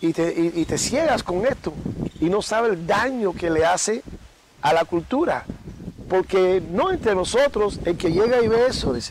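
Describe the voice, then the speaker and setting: A high-pitched man talks fairly slowly, with noticeable background noise behind him. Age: 60s. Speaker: babalawo. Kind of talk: interview. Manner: halting.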